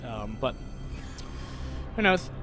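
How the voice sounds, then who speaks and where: Music plays in the background as a man with an American accent speaks at a moderate pace. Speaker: esports caster. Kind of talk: live commentary. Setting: live stream. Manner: casual, rambling with frequent fillers.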